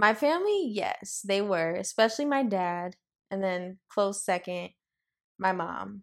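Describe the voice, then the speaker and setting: A plain, everyday voice from a woman, medium in pitch with ordinary pitch variation, at a fairly slow pace in a very clean recording with a silent background. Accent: American. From Los Angeles. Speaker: interior designer and co-founder. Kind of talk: casual chat.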